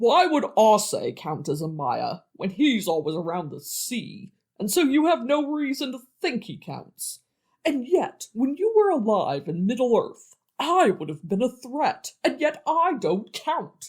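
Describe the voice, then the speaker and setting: A man puts on a character voice at an extremely high pitch. He speaks at a fairly slow pace with very wide pitch swings. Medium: audio drama. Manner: petulant, pestering, smug.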